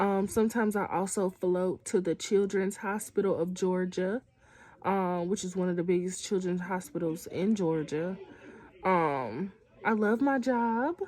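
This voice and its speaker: A woman has a normal speaking voice at a medium pitch with ordinary pitch variation. Her pace is fairly slow. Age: 20s. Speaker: student. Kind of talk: casual chat.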